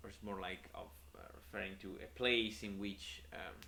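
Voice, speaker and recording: A man talks with a strong Italian accent at a moderate pace. Vocal fry runs through his voice. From Italy. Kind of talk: unscripted casual talk to camera on philosophy. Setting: home room, poor audio quality. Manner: hesitant, many filler words.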